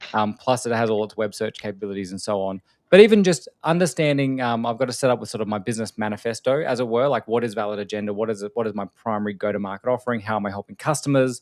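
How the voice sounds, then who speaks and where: A man with an Australian accent and medium pitch at a very fast pace, hardly any pauses and ordinary pitch variation, in a dry, close sound with no echo on a very clean recording with a silent background. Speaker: podcast host, AI consultant. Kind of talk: casual chat. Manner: direct and casual.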